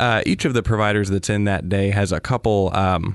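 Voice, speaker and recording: An American-accented man talks at a fairly low pitch with fairly even intonation. The background is quiet. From US Midwest, Wisconsin. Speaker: physician assistant. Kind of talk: interview. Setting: studio.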